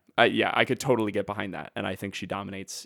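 A man talks at a very fast pace with a fairly low pitch. The sound is dry and close, with no echo. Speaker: podcast host. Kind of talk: casual banter, movie review chat. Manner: loud, animated.

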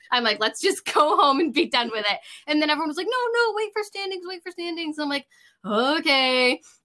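A woman with an American accent speaks in a raised, projected voice, high and bright with a sharp tone. Her pitch swings very widely at a fairly quick pace, on a very clean recording with a silent background. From New York, Rochester area. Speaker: card game YouTuber. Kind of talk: casual chat.

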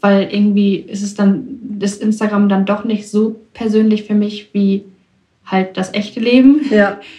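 A woman speaks fairly slowly at medium pitch, her somewhat breathy voice dark and mellow in tone and monotone, flat in intonation. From Germany, Ruhr area (Bochum). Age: 20s. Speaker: young woman guest. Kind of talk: interview.

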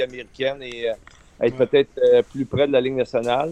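A man in a normal speaking voice at a fairly quick pace, with ordinary pitch variation and a dry, close sound free of echo. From Quebec, Eastern Townships (Windsor). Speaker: former hockey player and coach. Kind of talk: radio interview.

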